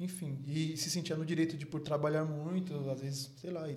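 Audible room echo surrounds a man speaking at a very fast pace. His pitch is fairly high and his intonation fairly even. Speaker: podcast host. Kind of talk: casual chat.

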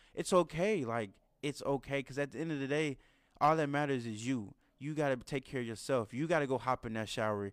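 A man with a normal speaking voice talks at a fairly quick pace in a fairly high pitch, in a very clean recording with a silent background. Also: ordinary pitch variation. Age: 20s. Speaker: podcast host. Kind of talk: casual monologue.

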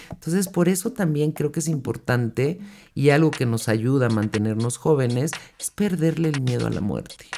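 A woman with a Mexican accent speaks in a warm tone with a very deep, low pitch and lively intonation. She keeps a moderate pace as music plays in the background. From Mexico. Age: 60s. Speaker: podcast host, self-help speaker. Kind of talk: motivational solo podcast. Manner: warm, conversational.

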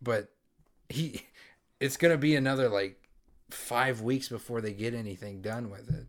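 Long pauses come often as this man talks. His pace is moderate and his pitch varies in an ordinary way. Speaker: podcast host. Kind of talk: casual chat.

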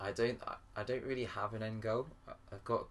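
A man speaks in a somewhat breathy voice. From grew up in Paris, English parents. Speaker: singer-songwriter. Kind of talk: casual interview. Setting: in a friend's flat.

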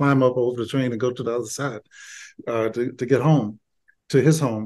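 Speaking with an Alabama accent, a man holds a medium pitch and moderate pace. His intonation stays fairly even. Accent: Southern US (Alabama). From Birmingham, Alabama. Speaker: retired doctor and author. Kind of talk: interview about his memoir.

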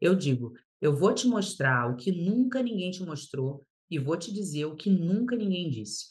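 Speaking at a fairly slow pace, a woman with a fairly low, somewhat breathy voice lets her pitch swing very widely. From Paraná, Brazil (born in Rio de Janeiro). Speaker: lawyer and mentor. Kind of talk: podcast interview.

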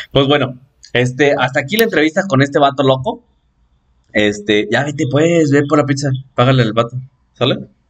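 A man with a Mexican accent speaks at a fairly high pitch and moderate pace, with ordinary pitch variation and long, frequent pauses. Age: 20s. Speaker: podcast host. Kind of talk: casual chat. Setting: home-made studio.

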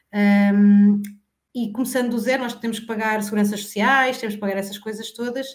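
In a room with audible echo, a woman speaks fairly quickly at a fairly high pitch with monotone, flat intonation. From Portugal, Santarém area (Alcanhões). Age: 40s. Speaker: insurance broker and cosmetics sales director. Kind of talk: interview, casual chat.

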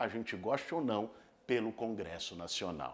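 Here is a man with an animated tone. His pitch swings very widely. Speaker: left-wing political commentator. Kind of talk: political commentary video; casual chat.

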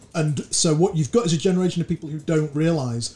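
A man with a British accent talks at a fairly quick pace, his fairly high voice somewhat breathy with a dark, mellow tone and ordinary pitch variation. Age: 40s. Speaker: sales recruitment consultant, podcast co-host. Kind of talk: casual book discussion.

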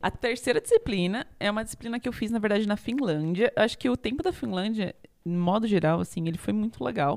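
This woman has an ordinary speaking voice with a fairly high pitch. She talks at a fairly quick pace with lively intonation. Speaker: podcast co-host, math student. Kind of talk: casual chat.

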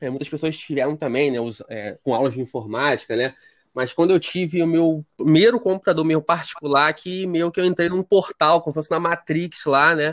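In a quiet, dry, close recording with no echo, a man with an ordinary speaking voice talks at a moderate pace, his fairly high pitch showing ordinary variation. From Rio de Janeiro, Brazil. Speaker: tech writer and editor. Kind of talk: podcast interview.

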